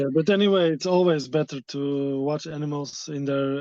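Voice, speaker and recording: A man's fairly high, dark and mellow voice in a Dutch accent, at a moderate pace. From Netherlands. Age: 30s. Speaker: wildlife tour operator. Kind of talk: interview. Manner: halting.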